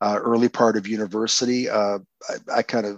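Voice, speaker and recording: The sound is dry and close with no echo as a man with a fairly low pitch speaks in a Canadian accent. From Windsor, Ontario, Canada. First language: Croatian. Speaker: poet and lawyer. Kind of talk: interview. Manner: halting, many fillers and repetitions.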